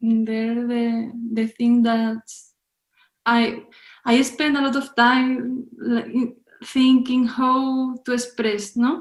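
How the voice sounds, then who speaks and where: Speaking very slowly with a Spanish accent, the voice stays monotone and flat. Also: woman, high pitch for a woman. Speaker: film director. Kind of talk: interview. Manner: halting.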